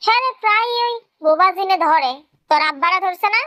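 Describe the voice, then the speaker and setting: A woman puts on a squeaky character voice at an extremely high pitch. Her intonation is lively and her pace moderate. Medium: read story. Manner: blunt, informal.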